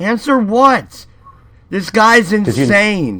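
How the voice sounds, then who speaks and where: A man's put-on character voice, high-pitched, raised and projected. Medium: actual play. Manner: surly, profane.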